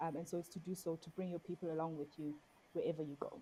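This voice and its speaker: Speaking at a fairly quick pace, this woman has a dark, mellow tone. Her voice is somewhat breathy. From South Africa, Xhosa. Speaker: poet and performer. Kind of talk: interview.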